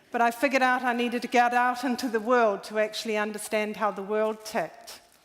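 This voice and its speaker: In a New Zealand accent, a woman speaks at a very fast pace with a fairly high pitch and flat, monotone intonation. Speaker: environmental activist. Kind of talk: conference talk. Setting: stage with audience.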